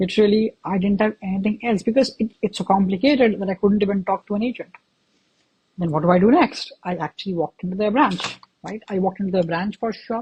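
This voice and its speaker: A woman with an Indian accent talks at a very fast pace in a dark, mellow, somewhat breathy tone, with ordinary pitch variation. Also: medium pitch for a woman, dry, close sound with no echo. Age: 20s. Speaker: podcast host. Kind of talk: interview.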